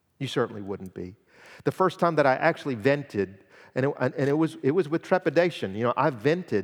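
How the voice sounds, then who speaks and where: Lively in intonation and fairly quick in pace, a man with an unremarkable speaking voice is heard on a very clean recording with a silent background. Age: 50s. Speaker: guest preacher. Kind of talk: sermon. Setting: church.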